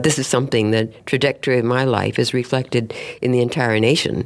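A woman with an American accent. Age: 90s. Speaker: national park ranger and historian. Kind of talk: interview.

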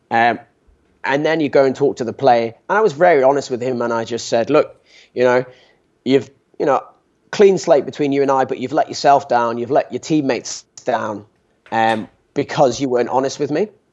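With a British accent, a man talks with long, frequent pauses. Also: medium pitch for a man, ordinary pitch variation, moderate pace. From UK. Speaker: sports medicine doctor. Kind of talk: interview. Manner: halting.

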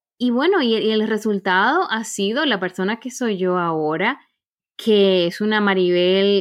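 The woman's voice sits at a medium pitch and varies in an ordinary way. She talks at a fairly slow pace. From Caribbean. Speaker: corporate trainer and coach. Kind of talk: interview.

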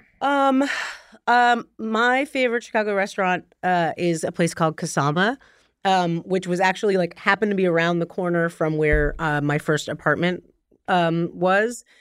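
A woman with an American accent speaks at a moderate pace in a medium pitch, using an unremarkable speaking voice and lively intonation. Her loudness stays very even, and the recording is very clean with a silent background. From New Jersey. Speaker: TV writer and producer. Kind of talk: casual chat.

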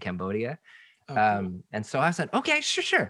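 Speaking at a very fast pace with an American accent, a man has a bright, sharp tone and very wide pitch swings, on a very clean recording with a silent background. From Seattle, US Pacific Northwest. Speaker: pastor and author. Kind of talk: casual interview.

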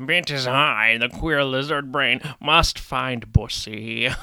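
Doing a raspy, put-on character voice, a man speaks at a very slow pace and a medium pitch. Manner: primal, grunting, dramatic.

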